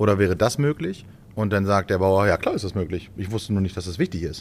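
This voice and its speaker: A man's fairly low voice at a very fast pace. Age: 30s. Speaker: farmer. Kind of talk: casual chat. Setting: farm.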